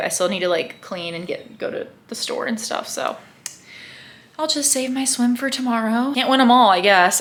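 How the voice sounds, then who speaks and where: With lively intonation, a woman talks at a moderate pace through noticeable background noise. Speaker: triathlete vlogger. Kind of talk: casual vlog talk to camera.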